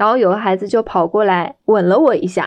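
An ordinary speaking voice at a moderate pace with fairly even intonation. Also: woman. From Shanghai, China. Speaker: special education teacher. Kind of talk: personal storytelling.

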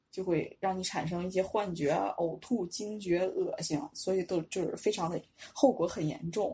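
Somewhat breathy, dark, mellow speech in a Northeastern Chinese accent at a moderate pace. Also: woman. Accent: Northeastern Mandarin. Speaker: Chinese language teacher with pharmacy and medical degrees. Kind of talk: casual interview chat.

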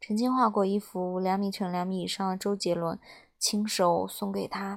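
The speaker's intonation is monotone and flat, captured in a very clean recording with a silent background. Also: woman. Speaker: audio story podcast host. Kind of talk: reading a story aloud.

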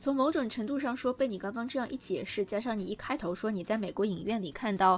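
A woman's somewhat breathy, fairly high voice at a very fast pace, with hardly any pauses and ordinary pitch variation. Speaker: podcast host, journalist and film writer. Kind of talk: casual chat about films.

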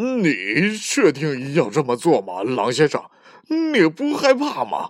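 A man's put-on character voice, fairly high in pitch, with very wide pitch swings and a slow pace

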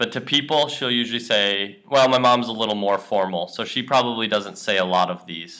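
This man has a medium-pitched voice with a bright, sharp tone and ordinary pitch variation. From USA. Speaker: English teacher. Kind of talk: language lesson chat. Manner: casual with many fillers.

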